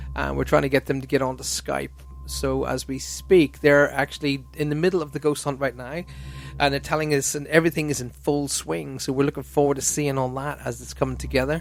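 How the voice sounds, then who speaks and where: A man speaks at a fairly quick pace with an Irish accent. Music plays in the background. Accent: Irish accent, mistaken for American. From Ireland. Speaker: radio host. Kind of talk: casual chat.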